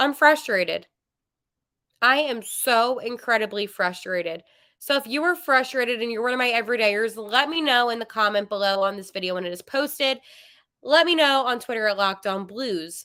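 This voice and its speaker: In a put-on character voice, a woman shouts in a strained, fairly high pitch with lively intonation at a moderate pace, on a very clean recording with a silent background. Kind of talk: sports podcast, addressing viewers. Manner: frustrated, half yelling but restrained.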